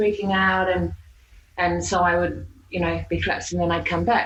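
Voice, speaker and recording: Speaking at a fairly quick pace, a woman has an Australian accent. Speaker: hypnotherapist. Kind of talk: podcast interview answer. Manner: casual, conversational.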